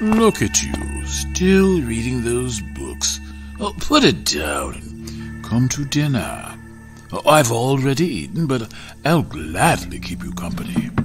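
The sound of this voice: Using a put-on character voice, a man speaks at a fairly slow pace with clear music in the background.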